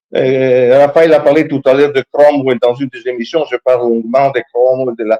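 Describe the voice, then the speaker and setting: The recording is dry and close, with no echo at all. A man talks at a moderate pace. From Italy. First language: Italian (speaking French). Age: 60s. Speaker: history professor. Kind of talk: talk show discussion. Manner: animated, halting with repetitions.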